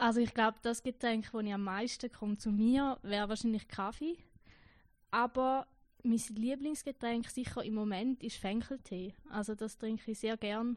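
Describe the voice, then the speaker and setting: In a Schaffhausen accent, a woman speaks with fairly even intonation. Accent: Schaffhausen Swiss German. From eastern Switzerland, canton Schaffhausen. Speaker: trainee pastor. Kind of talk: interview.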